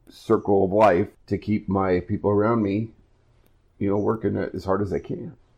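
A man with a Midwestern US accent speaks in a fairly low voice with fairly even intonation. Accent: US Midwest. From Iowa. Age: 50s. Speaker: podcast host. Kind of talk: casual chat.

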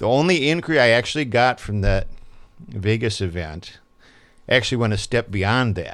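Against a quiet background, a man with a normal speaking voice talks with lively intonation. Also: medium pitch for a man, moderate pace. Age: 60s. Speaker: independent film director. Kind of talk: casual interview.

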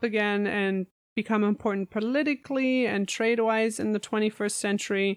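A woman with a German accent, fairly high in pitch, at a moderate pace. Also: very even loudness, dry, close sound with no echo. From Germany. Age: 30s. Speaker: pastry chef and podcaster. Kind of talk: casual interview chat. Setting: remote call from home.

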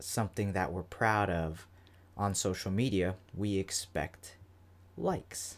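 In a very clean recording with a silent background, a man with an American accent speaks at a fairly slow pace, his very deep, low pitch varying in an ordinary way. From Florida. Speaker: podcast host. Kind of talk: solo podcast monologue. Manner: casual, filler-heavy.

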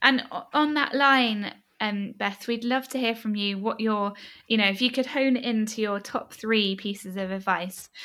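Fairly even intonation carries a woman's fairly high pitch and bright, sharp tone. She speaks at a moderate pace on a very clean recording with a silent background. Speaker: charity founder and occupational therapist, host.

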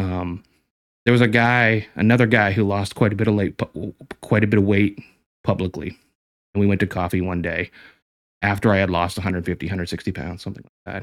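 On a very clean recording against a silent background, a man talks at a fairly quick pace with fairly even intonation and long, frequent pauses. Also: fairly low pitch for a man. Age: 40s. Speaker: professional photographer. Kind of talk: casual interview chat.

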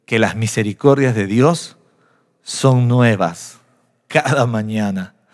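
This man speaks at a very slow pace. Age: 40s. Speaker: pastor. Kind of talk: sermon. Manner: animated.

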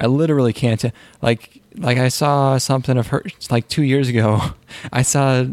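A man in a normal speaking voice, medium-pitched, at a moderate pace and with fairly even intonation. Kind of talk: casual chat. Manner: casual, joking.

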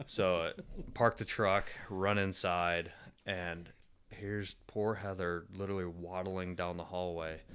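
A man with a Michigan accent speaks at a fairly slow pace in a very deep, low voice, his intonation monotone and flat. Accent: Michigan (Inland North) American. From Michigan, suburbs of Detroit. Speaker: navy engineer and father of three. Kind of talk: casual chat. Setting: at the host's home.

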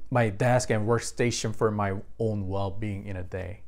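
Speaking with a Korean accent, a man holds a moderate pace and a fairly low pitch. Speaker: pastor. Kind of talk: sermon. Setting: online church service.

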